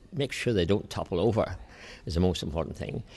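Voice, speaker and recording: A man talks with an Irish accent. His intonation is lively. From Ireland. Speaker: Presbyterian minister and flower arranger. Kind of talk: interview. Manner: halting.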